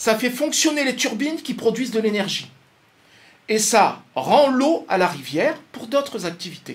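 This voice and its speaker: Extremely high-pitched, a man delivers his words at a fairly slow pace with lively intonation and an animated tone. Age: 60s. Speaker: economist. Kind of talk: talk to an audience. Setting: radio studio. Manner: hesitant, repeats words.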